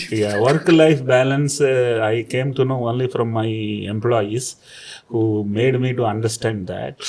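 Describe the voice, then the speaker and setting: Noticeable background noise behind a man at a medium pitch, with fairly even intonation and a fairly slow pace. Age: 60s. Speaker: businessman. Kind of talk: interview.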